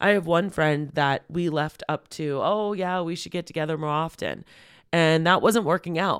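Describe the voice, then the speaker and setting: In a very clean recording with a silent background, a woman speaks in a normal speaking voice at a moderate pace, fairly low in pitch with fairly even intonation. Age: 40s. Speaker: podcast host and business coach. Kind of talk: solo podcast monologue. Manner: warm, conversational.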